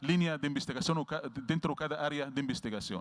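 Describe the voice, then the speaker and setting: An Arabic accent at a fairly quick pace, on a very clean recording with a silent background. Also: man. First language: Arabic (speaking Spanish). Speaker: veterinary researcher and professor. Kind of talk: lecture. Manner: halting.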